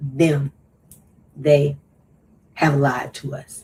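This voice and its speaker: Somewhat breathy, a woman speaks at a very deep, low pitch. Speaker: podcast host. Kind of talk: casual monologue.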